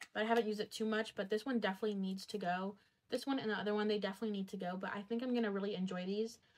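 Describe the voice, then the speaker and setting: This woman talks at a very fast pace in a medium pitch. Her intonation is monotone and flat. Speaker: beauty and body care youtuber. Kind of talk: product review vlog. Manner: casual, filler-heavy.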